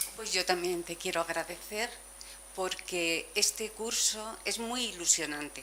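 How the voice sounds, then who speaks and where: Amid noticeable background noise, a woman speaks at a fairly slow pace and medium pitch with ordinary pitch variation. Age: 70s. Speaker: seminar participant. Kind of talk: testimony.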